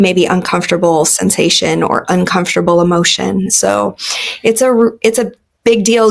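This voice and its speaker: The speaker is a woman with a medium pitch. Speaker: massage and craniosacral therapist, spiritual coach. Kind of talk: interview. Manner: slow.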